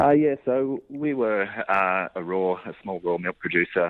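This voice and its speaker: With lively intonation, a man delivers his words at a fairly slow pace. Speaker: dairy farmer. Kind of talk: radio interview. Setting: phone call. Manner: halting, many fillers.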